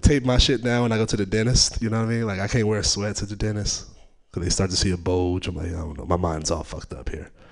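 With ordinary pitch variation, the talking races along at a very fast pace. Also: man, fairly low pitch for a man. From Oakland, California. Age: 20s. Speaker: stand-up comedian. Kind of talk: stand-up. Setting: stage with audience.

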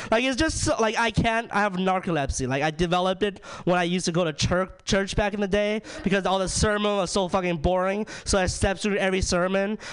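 A man speaks at a fairly quick pace in a high pitch. His loudness stays very even, with ordinary pitch variation. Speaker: stand-up comedian. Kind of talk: stand-up comedy. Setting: stage with audience. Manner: animated, profane.

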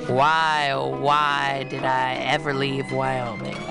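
A man talks very slowly in a put-on character voice at a medium pitch. Loud music plays behind him. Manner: booming.

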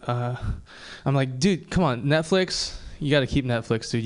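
This man has an ordinary speaking voice. His pitch is medium and his pace moderate. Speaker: comedian. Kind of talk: open mic stand-up.

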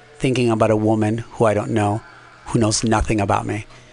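A man's medium-pitched voice is heard with music going on in the background. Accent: American. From Nicaragua, raised later in Los Angeles. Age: 40s. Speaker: amateur stand-up comedian. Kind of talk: casual interview chat. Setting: radio studio.

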